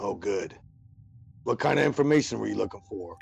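A raspy, put-on character voice from a man, at medium pitch and a fairly quick pace. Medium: actual play. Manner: blunt, streetwise.

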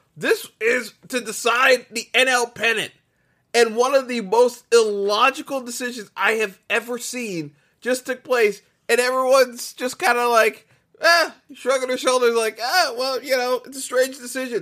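A man's extremely high, bright, sharp voice, raised and projected with an animated tone and ordinary pitch variation, on a very clean recording with a silent background. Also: moderate pace. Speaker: sports podcast host. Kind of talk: solo sports rant. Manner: halting with repeated stammers.

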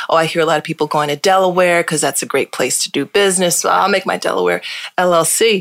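A woman with an American accent speaks at a very fast pace and a fairly low pitch. Her loudness stays very even in a dry, close sound with no echo. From Hartford, Connecticut. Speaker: lawyer and law firm founder. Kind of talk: casual interview chat.

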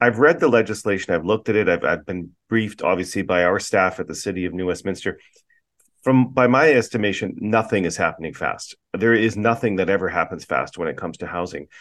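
An ordinary speaking voice from a man, fairly low in pitch with ordinary variation, at a fairly quick pace against a quiet background. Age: 50s. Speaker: podcast host and city councillor. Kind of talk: interview; quiz game hosting.

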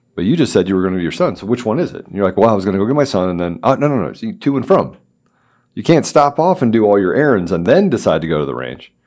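With an American accent, a man talks at a very fast pace in a fairly low voice with vocal fry and very wide pitch swings, on a very clean recording over a silent background. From Washington, D.C. area. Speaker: podcast guest host, company CEO. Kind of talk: casual interview chat. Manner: halting, many fillers and restarts.

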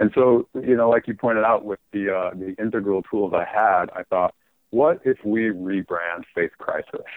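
At a moderate pace, someone with an American accent speaks in an ordinary speaking voice. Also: man, fairly low pitch for a man, ordinary pitch variation. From Utah, US (Salt Lake City). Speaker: author. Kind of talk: casual chat. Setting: phone call.

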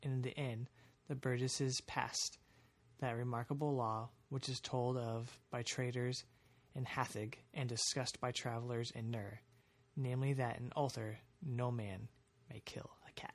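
In a very clean recording with a silent background, a man speaks at a moderate pace in a medium pitch, monotone and flat, with long, frequent pauses. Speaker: podcast host. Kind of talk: reading aloud an archaic gothic horror story, audiobook-style narration.

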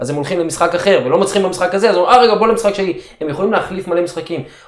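Noticeable background noise runs under a man speaking at a high pitch. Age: 40s. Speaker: martial arts coach. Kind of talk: guided meditation; interview.

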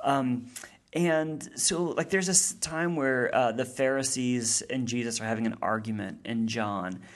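A man with an unremarkable speaking voice talks at medium pitch and a fairly slow pace with lively intonation. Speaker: seminary professor and theologian. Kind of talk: casual interview about theology. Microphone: mic adjusted during recording, sounds better.

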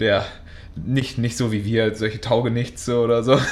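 Over audible room echo, a man with a medium pitch speaks fairly slowly with fairly even intonation. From Münster, Westphalia, Germany. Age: 20s. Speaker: podcast co-host. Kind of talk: casual chat.

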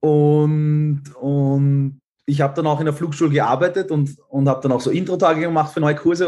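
Intonation stays fairly level throughout. A somewhat breathy quality runs through the voice. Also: man. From Austria. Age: 20s. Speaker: pilot. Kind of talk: casual chat.

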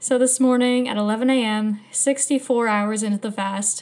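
A woman speaks. Her tone is animated. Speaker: podcast host. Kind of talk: solo podcast monologue, casual chat. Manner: animated, laughs often.

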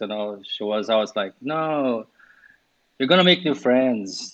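A man at medium pitch speaks with a Portuguese accent at a moderate pace, showing ordinary pitch variation. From Brazil. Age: 40s. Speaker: yoga teacher. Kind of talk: casual interview chat.

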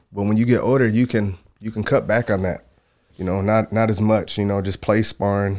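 With an American accent and monotone, flat intonation, a man talks at a fairly quick pace. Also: fairly low pitch for a man. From Michigan. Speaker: mixed martial arts fighter. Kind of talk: casual chat.

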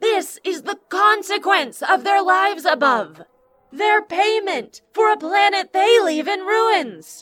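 A female-sounding put-on character voice at an extremely high pitch and fairly slow pace, with music in the background. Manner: contemptuous, impassioned, righteous.

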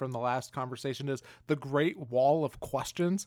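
On a very clean recording with a silent background and a dry, close sound with no echo, a man in a normal speaking voice talks at a moderate pace with fairly high pitch. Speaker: podcast host. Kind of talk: interview conversation.

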